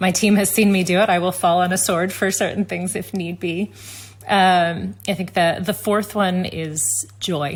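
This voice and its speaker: A woman speaks at a fairly slow pace with a somewhat breathy, medium-pitched voice. Her intonation stays fairly even. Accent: American. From United States. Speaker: tech company executive. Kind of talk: interview conversation. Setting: video call.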